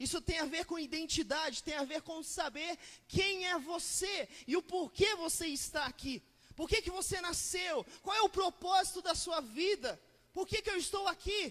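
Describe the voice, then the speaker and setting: A man speaks with an extremely high pitch and ordinary pitch variation. His tone is bright and sharp. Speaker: pastor. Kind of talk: sermon. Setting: church with congregation. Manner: fast.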